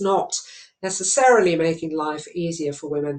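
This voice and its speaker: A woman with a British accent, fairly low in pitch, at a moderate pace with ordinary pitch variation. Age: 60s. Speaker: charity chairman. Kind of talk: opening speech. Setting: home study.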